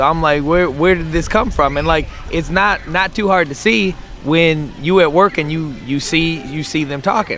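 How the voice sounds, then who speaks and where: There is noticeable background noise as a man speaks at a moderate pace. His pitch is fairly high, with ordinary variation. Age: 30s. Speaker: podcast guest. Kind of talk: casual chat. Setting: outdoors in a park.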